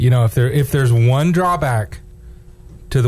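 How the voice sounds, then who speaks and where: The voice has a dark, mellow, somewhat breathy tone with lively intonation at a fairly quick pace. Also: man. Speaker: radio co-host filling in. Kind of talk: casual sports radio banter. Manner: upbeat, jokey.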